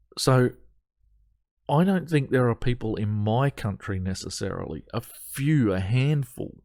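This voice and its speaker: A man with an Australian accent speaks at a fairly slow pace and medium pitch. His intonation is lively, on a very clean recording with a silent background. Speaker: atheist commentary vlogger. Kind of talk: reaction commentary on an article. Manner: animated, exasperated.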